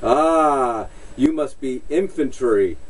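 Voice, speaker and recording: Putting on a character voice, a man speaks at a fairly high pitch with ordinary pitch variation against clear background noise. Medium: solo performance.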